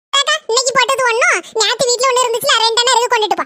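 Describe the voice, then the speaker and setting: Squeaky and at an extremely high pitch, a woman races along at a very fast pace in a cartoonish character voice. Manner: warm, chatty, affectionate.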